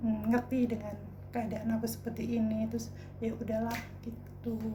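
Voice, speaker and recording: A woman talks at a fairly slow pace. Audible room echo and noticeable background noise fill the recording. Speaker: vlogger. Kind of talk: personal storytelling vlog. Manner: casual, colloquial.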